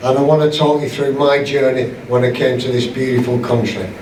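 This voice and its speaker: A man at a moderate pace, with noticeable background noise and audible room echo. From northern England. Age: 70s. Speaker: public speaker. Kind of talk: talk to a club audience. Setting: room with live audience. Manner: animated.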